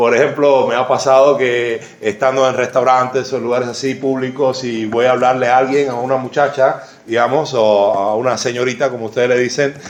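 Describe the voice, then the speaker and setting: Amid noticeable background noise and audible room echo, a man talks at a medium pitch and a fairly quick pace in a flat, monotone way. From Cuba. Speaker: pastor. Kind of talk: sermon. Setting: church. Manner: halting.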